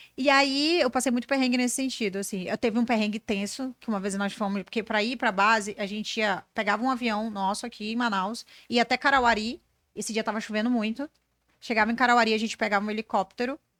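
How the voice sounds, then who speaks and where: Very fast and animated, a woman talks at a fairly high pitch in a dry, close sound with no echo, on a very clean recording with a silent background. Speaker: brand strategist and business mentor. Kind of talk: podcast interview.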